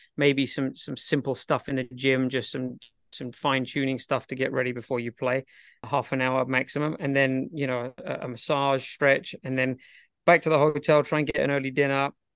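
Against a quiet background, a man with a British accent speaks at medium pitch and a moderate pace with monotone, flat intonation and a dry, close sound with no echo. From Britain. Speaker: professional tennis coach. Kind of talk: casual interview chat.

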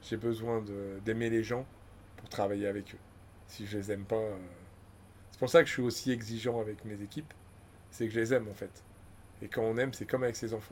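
A man talks fairly quickly at a medium pitch in a flat monotone. His loudness swings widely, and he takes long, frequent pauses. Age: 50s. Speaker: business owner. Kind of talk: casual chat.

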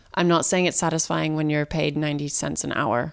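In a very clean recording with a silent background, a woman with an American accent talks at a fairly quick pace, her very deep, low voice keeping fairly even intonation. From US Southwest (Santa Fe, New Mexico). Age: 30s. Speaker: model and environmental activist. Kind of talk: interview.

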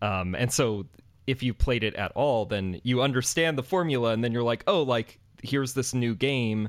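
A man talks at a medium pitch and a moderate pace, his pitch varying in an ordinary way. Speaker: podcast host. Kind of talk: casual chat. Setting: video call.

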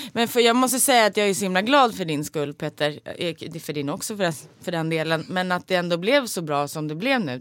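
A woman with a fairly low pitch speaks at a moderate pace, her pitch swinging very widely. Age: 30s. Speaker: podcast host, voice actor. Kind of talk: casual chat.

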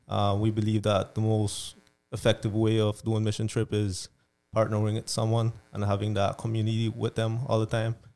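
Over music in the background, a man talks at a moderate pace in a fairly low, monotone, flat voice. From Belize. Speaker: mission trip organizer. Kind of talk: casual interview.

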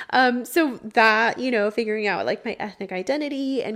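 A plain, everyday voice with an American accent moves at a moderate pace with ordinary pitch variation on a very clean recording, the background silent. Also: woman. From Texas, Houston. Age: 20s. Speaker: podcast host. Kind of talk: personal monologue. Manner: casual, frequent laughter and fillers.

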